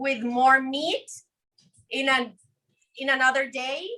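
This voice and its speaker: Raising and projecting her high-pitched voice, a woman speaks with a Spanish accent in a bright, sharp tone. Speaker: cooking instructor. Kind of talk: live cooking demonstration.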